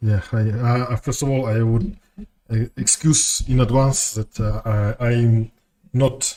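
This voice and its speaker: In a Russian accent, a man speaks fairly slowly at a medium pitch with fairly even intonation. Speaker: game streamer. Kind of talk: casual chat. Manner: halting.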